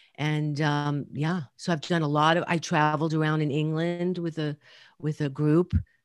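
In a New York accent, a woman speaks fairly slowly with a very deep, low pitch and fairly even intonation. The sound is dry and close, with no echo. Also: very clean recording, silent background. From New York City (Brooklyn and Queens). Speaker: addiction and trauma therapist. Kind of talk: interview.

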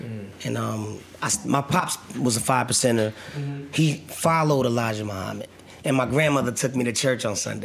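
A man at a medium pitch talks at a fairly quick pace with ordinary pitch variation, over noticeable background noise. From New Jersey. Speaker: actor. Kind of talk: casual interview. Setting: studio.

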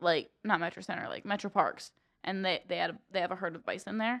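A woman speaks in a Midwestern American accent. Her tone is bright and sharp. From central Ohio. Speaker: college student podcaster. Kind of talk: casual chat.

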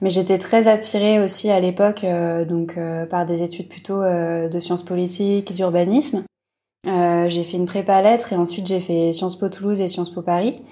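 Her tone is dark and mellow, at a medium pitch. The woman keeps a moderate pace and fairly even intonation. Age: 20s. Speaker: illustrator. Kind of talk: casual interview. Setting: remote call.

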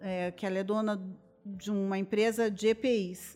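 Medium in pitch, a woman speaks at a moderate pace. Her intonation is flat and monotone. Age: 50s. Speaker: journalist and influencer. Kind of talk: casual chat.

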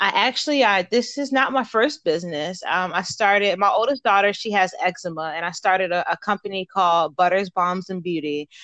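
A woman with an American accent has an unremarkable speaking voice at medium pitch, with ordinary pitch variation and a moderate pace, recorded with a dry, close sound with no echo against a quiet background. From Baltimore, Maryland. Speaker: entrepreneur and soldier. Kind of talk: interview.

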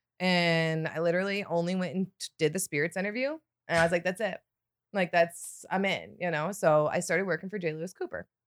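A woman's fairly low, fairly even voice in a Michigan accent, fairly quick, dry and close with no echo, in a very clean recording with a silent background. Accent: Michigan American. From Michigan, Detroit suburbs. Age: 40s. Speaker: distillery sales rep. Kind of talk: casual chat.

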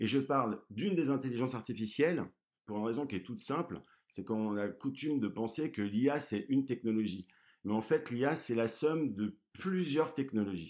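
A man speaks with an unremarkable speaking voice at a moderate pace. The recording is very clean, with a silent background. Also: medium pitch for a man, lively intonation. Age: 30s. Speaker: business school program director and AI speaker. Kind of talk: interview.

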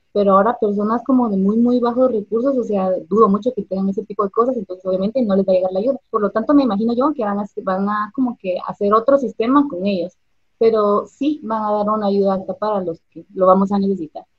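At a very fast pace, a woman talks in a somewhat breathy, fairly high-pitched voice with ordinary pitch variation. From Guatemala. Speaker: businesswoman and cosplayer. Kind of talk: online interview.

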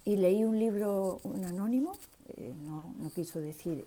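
A woman's somewhat breathy, dark, mellow voice, fairly slow in pace and lively in intonation. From Seville, Spain. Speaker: listener taking part. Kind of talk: personal testimony.

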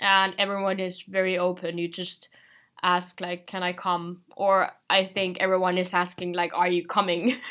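In a Finnish accent, a woman speaks at a moderate pace and medium pitch with a bright, sharp tone. Her intonation is monotone and flat, and the recording is very clean with a silent background. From Finland. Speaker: exchange student. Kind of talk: casual chat.

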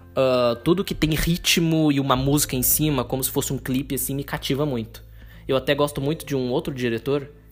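A man speaks at a fairly quick pace with fairly even intonation and a medium pitch. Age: 20s. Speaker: podcaster. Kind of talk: casual solo podcast monologue. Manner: unscripted, conversational with fillers.

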